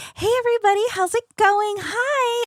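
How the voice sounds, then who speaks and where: A woman uses a squeaky, put-on character voice at an extremely high pitch, speaking at a moderate pace. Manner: cheerful.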